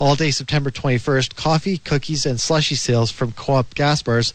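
An unremarkable speaking voice from a man, medium in pitch, with ordinary pitch variation. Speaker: news reader. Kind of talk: news reading.

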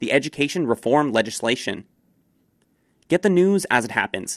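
Speaking with a plain, everyday voice and a Canadian accent, a man uses lively intonation at a moderate pace, in a very clean recording with a silent background and a dry, close sound with no echo. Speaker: radio newsreader. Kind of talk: brisk local radio newsreading, crisp and scripted, even-toned delivery of headlines. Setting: studio. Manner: formal; brisk and steady.

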